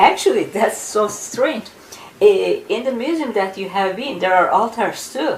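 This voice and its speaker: In a room with audible echo and noticeable background noise, a woman with a fairly high voice speaks with lively intonation. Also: moderate pace. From Turkey. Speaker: ufologist and author. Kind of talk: interview.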